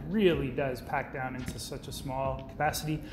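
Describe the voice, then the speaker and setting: There is noticeable background noise. A man talks through it. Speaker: presenter. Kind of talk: product overview talk. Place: office.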